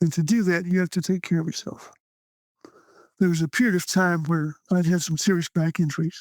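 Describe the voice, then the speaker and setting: The sound is dry and close, with no echo. The speaker has a Texan accent and a fairly quick pace. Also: man. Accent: Texan American. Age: 70s. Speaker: stage performer and writer. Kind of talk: interview conversation. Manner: animated.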